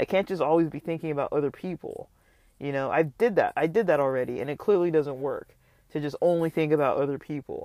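The recording is very clean, and the background is silent. The words come out very fast. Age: 40s. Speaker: podcaster. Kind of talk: solo monologue vlog. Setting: outdoors. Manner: casual, many fillers.

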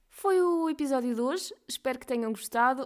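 A woman talks at a moderate pace, her pitch swinging very widely. The recording is very clean, with a silent background. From Portugal, Coimbra region. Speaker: podcast host, doctor. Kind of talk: casual chat.

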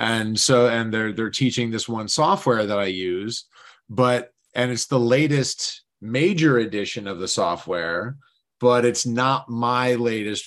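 A man talks in a normal speaking voice at medium pitch, with ordinary pitch variation and a fairly slow pace. The background is quiet. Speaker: podcast host. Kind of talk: casual interview chat.

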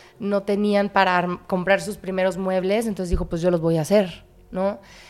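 A woman talks at a moderate pace with a fairly low pitch and a plain, everyday voice. The recording is very clean, with a silent background. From Monterrey, northern Mexico. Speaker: actress and visual artist. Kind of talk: casual chat.

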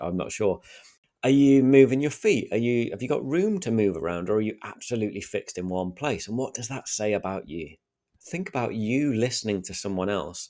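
In a Sheffield accent, a man speaks at a fairly quick pace with a dark, mellow tone. The recording is very clean, with a silent background. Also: medium pitch for a man, lively intonation. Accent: Sheffield northern English. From Sheffield, northern England. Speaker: podcast host. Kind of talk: solo podcast monologue with practical tips. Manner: clear, well-spoken, conversational.

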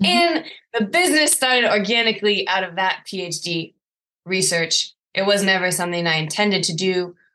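A woman's bright, sharp tone at a medium pitch, in an American accent and a moderate pace. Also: lively intonation. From US. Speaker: scientist and poi instructor. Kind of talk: interview.

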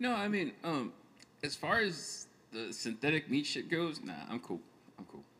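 This man's voice has a bright, sharp tone and a fairly high pitch, with vocal fry. He talks at a moderate pace, and his pitch swings very widely. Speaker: podcast guest. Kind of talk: casual chat.

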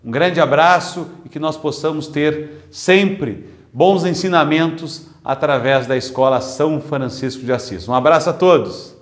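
A man's fairly high voice at a fairly slow pace, ordinary in pitch variation, with audible room echo. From southern Brazil, Pelotas. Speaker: politician. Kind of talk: testimony. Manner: formal.

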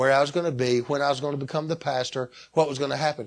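A man speaks with a Southern US accent. His pitch sits fairly high. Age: 60s. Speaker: pastor. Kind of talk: sermon.

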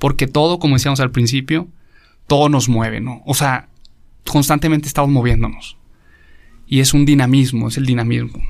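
This man's fairly quick speech has a medium pitch and fairly even intonation. Long pauses come often. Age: 30s. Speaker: philosophy graduate, priest. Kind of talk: casual explanatory talk on philosophy.

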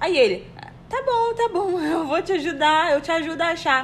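Noticeable background noise sits behind a woman speaking at a moderate pace. Her pitch swings very widely. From Brazil. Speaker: podcast co-host, office worker. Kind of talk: casual chat.

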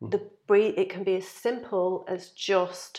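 A woman at a medium pitch talks in a normal speaking voice. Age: 40s. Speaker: mindfulness practitioner. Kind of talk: casual chat. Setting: kitchen.

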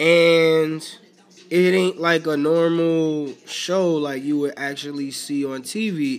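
The pitch moves in an ordinary way. It belongs to a normal speaking voice. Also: man. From New York City (Bronx). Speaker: podcast host. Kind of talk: solo casual monologue. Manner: relaxed, conversational.

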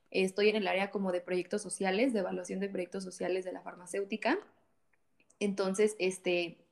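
A woman's medium-pitched voice keeps a fairly even intonation. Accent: Mexican. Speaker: church volunteer, social projects worker. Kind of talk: casual chat.

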